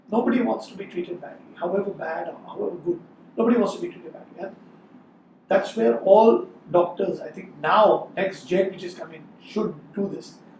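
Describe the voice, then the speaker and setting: A man's high voice at a fairly quick pace, with ordinary pitch variation, big swings in loudness and noticeable background noise. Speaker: gastroenterologist. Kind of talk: interview.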